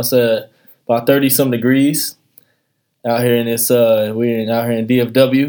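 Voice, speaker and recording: At a moderate pace, a man talks in a medium-pitched voice. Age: 20s. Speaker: podcast host. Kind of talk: casual chat. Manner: animated.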